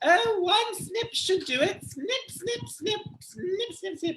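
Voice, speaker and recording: A put-on character voice comes out squeaky at an extremely high pitch. It moves at a very slow pace. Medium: read story.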